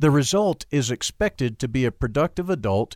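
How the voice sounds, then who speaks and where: A man with a normal speaking voice, lively in intonation, at a moderate pace. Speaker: audiobook narrator. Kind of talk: audiobook reading of a nonfiction book, steady and formal. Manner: measured, even-paced, formal.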